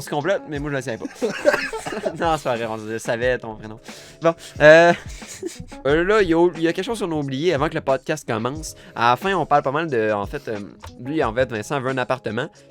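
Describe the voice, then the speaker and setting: A man's fairly high, lively voice at a fairly quick pace, broken by long, frequent pauses, with music in the background. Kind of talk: casual podcast conversation.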